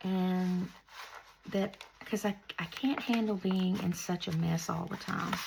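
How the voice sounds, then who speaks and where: Against noticeable background noise, a soft-spoken woman talks fairly slowly in a fairly low voice with fairly even intonation. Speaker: crafter. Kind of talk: tutorial. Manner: casual chatty. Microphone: no lapel mic, maybe quiet.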